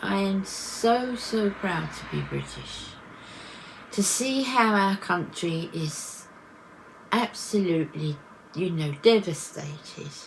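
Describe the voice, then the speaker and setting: Over noticeable background noise, a woman with an English accent speaks at a very slow pace in a medium pitch with lively intonation. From England. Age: 60s. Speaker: vlogger. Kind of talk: personal vlog reflection. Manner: halting.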